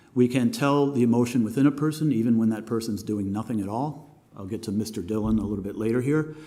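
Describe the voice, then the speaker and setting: A man's dark, mellow voice at a medium pitch, very fast pace and hardly any pauses, with ordinary pitch variation and audible room echo. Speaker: animation teacher and filmmaker. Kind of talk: lecture. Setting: masterclass with live audience. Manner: halting, many fillers.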